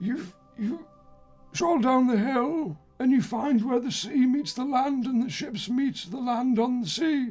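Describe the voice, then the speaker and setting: A put-on character voice speaks at a fairly high pitch and a fairly slow pace. Faint music plays in the background. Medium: actual play. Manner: slow, rambling, hesitant.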